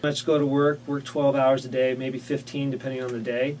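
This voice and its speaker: Background noise is noticeable throughout. A man does the talking. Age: 30s. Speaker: ski resort worker. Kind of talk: casting video self-introduction. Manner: casual, with fillers.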